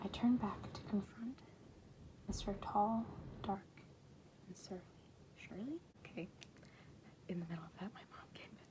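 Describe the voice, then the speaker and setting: Amid noticeable background noise, a whisper proceeds at a moderate pace, broken by long, frequent pauses. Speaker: ASMR creator. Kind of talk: book reading.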